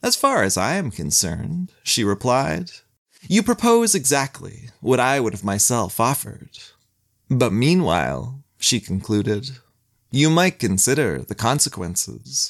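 A man speaks at a medium pitch with vocal fry and very wide pitch swings, at a fairly slow pace. The recording is very clean, with a silent background. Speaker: podcast narrator. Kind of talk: saga narration, scripted storytelling. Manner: measured, dry, wry storyteller.

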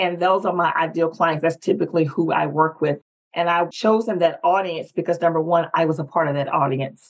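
This woman talks at a fairly quick pace with a Southern US accent. Her pitch is fairly low. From North Carolina, US South. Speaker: executive presence strategist and speaker. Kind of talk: casual interview, personal storytelling.

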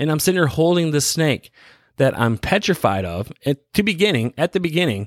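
A man with an American accent talks fairly quickly in a normal speaking voice, pitched fairly high. The sound is dry and close with no echo, and the recording is very clean with a silent background. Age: 30s. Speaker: podcast host. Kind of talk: casual monologue. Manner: casual, laughing often.

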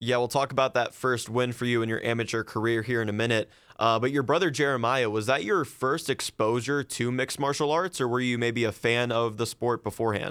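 With a plain, everyday voice and an American accent, a man speaks at medium pitch and a fairly quick pace, with fairly even intonation, hardly any pauses and very even loudness. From Ohio. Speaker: podcast host. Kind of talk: interview.

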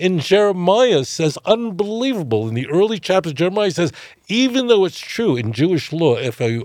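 In a New York accent, a man talks at a fairly quick pace. His pitch swings very widely. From US, Brooklyn, New York. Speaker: rabbi. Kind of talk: podcast interview.

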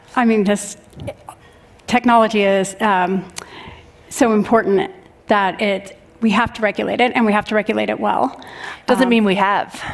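With noticeable background noise, a woman speaks at a moderate pace in a flat monotone, leaving long, frequent pauses. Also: medium pitch for a woman. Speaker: tech executive panelist. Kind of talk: panel discussion. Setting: stage with audience.

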